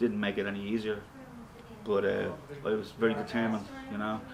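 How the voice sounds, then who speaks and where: This man talks at a fairly quick pace with a Dublin accent. His fairly low voice stays monotone and flat. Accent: Dublin Irish. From Ireland, Dublin (Ballyfermot). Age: 60s. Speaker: rock guitarist and singer. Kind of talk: interview. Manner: casual.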